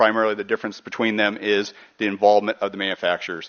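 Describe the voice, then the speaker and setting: A man talking very fast, his pitch fairly low and his intonation fairly even. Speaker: environmental nonprofit executive director. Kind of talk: conference presentation.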